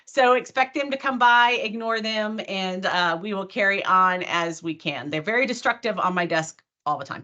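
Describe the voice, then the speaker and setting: Hardly pausing, a woman talks at a medium pitch with lively intonation and a bright, sharp tone. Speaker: database consultant and conference speaker. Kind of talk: technical presentation. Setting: online video meeting. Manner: very fast.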